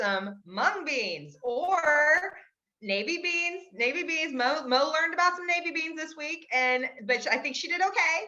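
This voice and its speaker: Her voice is raised and projected, with a high pitch and lively intonation. The woman speaks at a fairly slow pace. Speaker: health coach. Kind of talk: casual group video call. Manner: animated.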